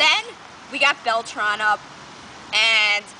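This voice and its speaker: Noticeable background noise runs under a woman's high-pitched voice. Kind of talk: casual sports talk.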